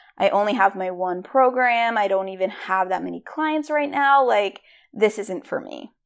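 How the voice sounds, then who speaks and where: A woman of medium pitch with an American accent, lively intonation, big swings in loudness and a moderate pace, on a very clean recording with a silent background. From US Northeast, Rhode Island. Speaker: podcast host, career coach. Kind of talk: motivational monologue. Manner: animated.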